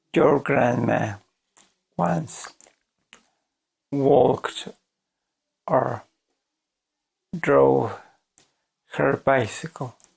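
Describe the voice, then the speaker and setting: A man speaks at a very slow pace. Long pauses come often. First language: Spanish. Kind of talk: casual talk to camera.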